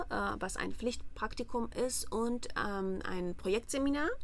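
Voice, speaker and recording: A woman with an Armenian accent, very slow pace, ordinary pitch variation, and audible room echo. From Armenia, Yerevan. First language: Armenian (speaking German). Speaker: master's student. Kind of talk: interview. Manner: hesitant, many fillers.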